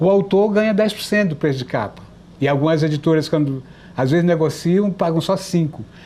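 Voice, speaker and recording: A man's high-pitched voice, dark and mellow in tone, with lively intonation. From Brazil, Piauí (Teresina). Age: 60s. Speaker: writer and journalist. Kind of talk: TV interview.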